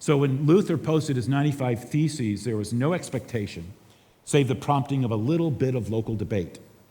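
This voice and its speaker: This man talks at a fairly quick pace with medium pitch and lively intonation, his tone dark, mellow and somewhat breathy. Audible room echo surrounds his voice. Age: 60s. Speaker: pastor. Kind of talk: conference talk.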